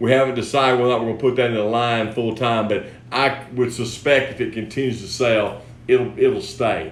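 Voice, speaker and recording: A man speaks at a fairly quick pace with audible room echo. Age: 60s. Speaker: fishing lure company host. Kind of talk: product tutorial. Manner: casual, repetitive restarts.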